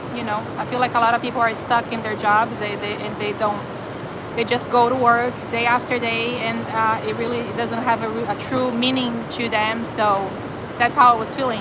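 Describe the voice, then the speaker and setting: With a slight Brazilian accent, a woman speaks at a moderate pace and a fairly high pitch. Noticeable background noise and audible room echo surround her voice. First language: Portuguese. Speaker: animal shelter volunteer and live streamer. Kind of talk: live stream chat reading viewer comments. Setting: animal shelter. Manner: casual, with hesitations and fillers.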